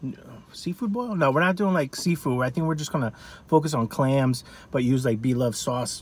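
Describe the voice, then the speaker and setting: A fairly high-pitched, somewhat breathy man with an American accent at a fairly quick pace, in a dry sound with no echo. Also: ordinary pitch variation. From California. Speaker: food vlogger. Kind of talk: casual mukbang review. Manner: animated. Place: car. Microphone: phone near.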